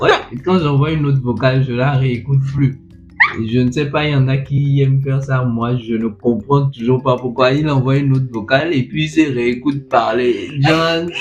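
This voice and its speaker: A man's medium-pitched voice at a moderate pace with fairly even intonation, music playing in the background. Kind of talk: casual chat. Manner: halting.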